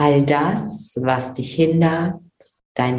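This woman has a very deep, low pitch and a calm, soothing tone, with ordinary pitch variation. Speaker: meditation guide podcast host. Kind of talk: guided meditation. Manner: slow, calm, soothing; gentle, dreamy, with long pauses.

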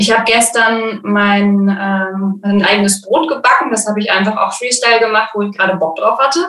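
A woman's fairly high-pitched voice, a plain, everyday voice, at a moderate pace with hardly any pauses and ordinary pitch variation. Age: 20s. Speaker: birth preparation coach. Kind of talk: interview. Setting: video call.

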